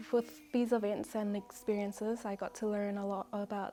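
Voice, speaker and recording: A woman speaks in a New Zealand accent. Her pitch is fairly high and her pace moderate. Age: 20s. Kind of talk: interview answer.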